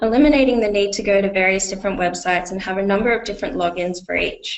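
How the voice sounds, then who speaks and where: The speaker talks at a very fast pace with an Australian accent. Intonation stays fairly even. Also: woman. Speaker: software company representative. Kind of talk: webinar product demo. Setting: online webinar. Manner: hesitant, many fillers.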